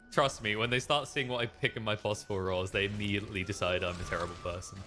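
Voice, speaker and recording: Someone with a British accent speaks at a very fast pace as music plays in the background. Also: man, fairly low pitch for a man, ordinary pitch variation. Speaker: video game player on voice chat. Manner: casual, self-deprecating.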